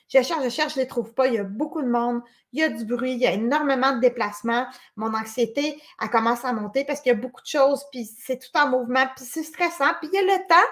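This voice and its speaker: Speaking at a very fast pace, a woman uses a high pitch and lively intonation, with big swings in loudness. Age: 40s. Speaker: conference speaker. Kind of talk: lecture.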